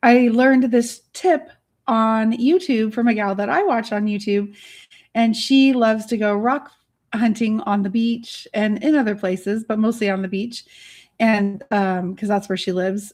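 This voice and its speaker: On a very clean recording with a silent background, a soft-spoken woman with a bubbly, somewhat breathy tone talks at a moderate pace in a fairly high pitch with ordinary pitch variation. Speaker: artist and online business educator. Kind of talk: livestream Q&A. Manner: chatty, bubbly.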